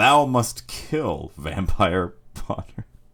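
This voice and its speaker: Here a man puts on a character voice. His pitch sits in the medium range. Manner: yelling, imperious.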